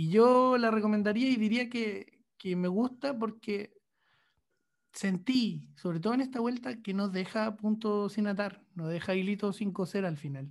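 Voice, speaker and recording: A high-pitched man with a Chilean accent, fairly slow pace and ordinary pitch variation. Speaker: podcast co-host, journalist. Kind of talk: casual chat.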